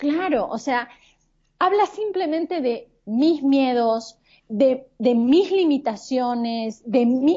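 A woman with a high pitch and lively intonation at a very slow pace. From Argentina. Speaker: life coach and image consultant. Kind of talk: podcast interview.

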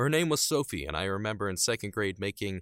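A man's bright, sharp voice swings very widely in pitch. The sound is dry and close with no echo, in a very clean recording over a silent background. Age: 20s. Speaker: solo podcaster. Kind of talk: casual monologue. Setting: home audio booth. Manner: unscripted and rambling.

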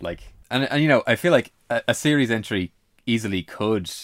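A man talks at a moderate pace with ordinary pitch variation. It is a normal speaking voice. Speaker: podcast co-host. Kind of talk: casual chat.

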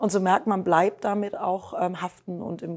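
A woman speaks at a medium pitch and a fairly slow pace. The recording is very clean with a silent background. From Germany, Rhineland. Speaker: tech innovation executive. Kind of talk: interview. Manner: many filler sounds (ähm).

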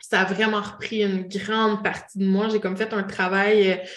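Delivered at a very slow pace in a Quebec accent, the speech is monotone with flat intonation. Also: woman. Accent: Québécois French. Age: 30s. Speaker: clairvoyant and holistic therapist. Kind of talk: casual interview chat.

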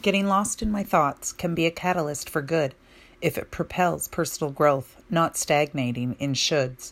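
A woman talks at a fairly low pitch and a fairly slow pace, with ordinary pitch variation. Hers is an unremarkable speaking voice. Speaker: poet. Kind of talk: spoken-word poem, reflective and rhythmic.

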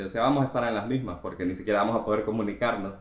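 Audible echo fills the room. Intonation remains fairly even throughout. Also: man. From Honduras. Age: 20s. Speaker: podcast guest, software graduate. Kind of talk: casual chat. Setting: recorded outside the studio.

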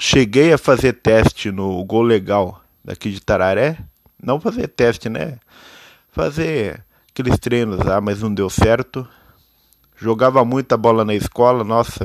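Pausing long and often, a man speaks at a fairly slow pace and medium pitch with ordinary pitch variation, the sound dry and close with no echo. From Brazil, interior of São Paulo state. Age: 20s. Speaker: amateur podcaster. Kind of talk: personal monologue. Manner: halting.

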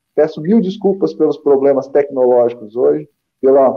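Fairly high male voice at a moderate pace, with ordinary pitch variation. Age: 30s. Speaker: spiritist commentator. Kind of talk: religious study discussion.

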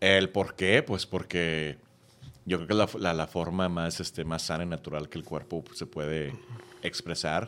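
This man's voice sits very deep and low, with fairly even intonation. He speaks at a fairly slow pace. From Texas. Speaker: podcast guest. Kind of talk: casual chat.

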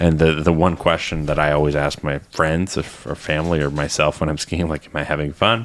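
Noticeable background noise sits behind a man with a very deep, low voice. He talks at a fairly quick pace with fairly even intonation. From Ontario, Canada. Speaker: podcast host. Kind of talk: casual chat. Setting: studio.

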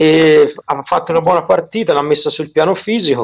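In a dry, close recording with no echo, a man with a strong Tuscan accent speaks at a moderate pace and a fairly high pitch. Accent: heavy Tuscan. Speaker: football analyst. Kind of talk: casual chat.

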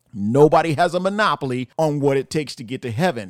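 A man with an unremarkable speaking voice, lively intonation and a moderate pace, in a dry, close sound with no echo on a very clean recording with a silent background. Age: 50s. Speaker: pastor. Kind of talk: sermon-style podcast monologue.

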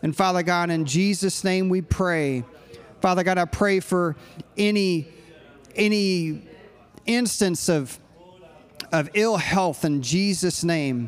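A man with a high-pitched voice speaks, with noticeable background noise behind him. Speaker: pastor. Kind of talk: sermon; fervent, led group prayer in a sermon. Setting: church with live congregation. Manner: fervent, pleading prayer.

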